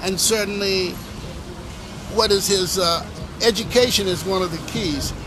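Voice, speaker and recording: A man with an American accent and a high pitch speaks with fairly even intonation and long, frequent pauses, amid noticeable background noise and audible room echo. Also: moderate pace. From Washington DC, Ward 7. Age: 60s. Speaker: local resident. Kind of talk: street interview.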